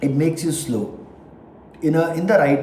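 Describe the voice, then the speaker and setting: Fairly high-pitched man with a non-native accent at a moderate pace, with audible room echo. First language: not English. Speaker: vlogger. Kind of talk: casual monologue. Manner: halting.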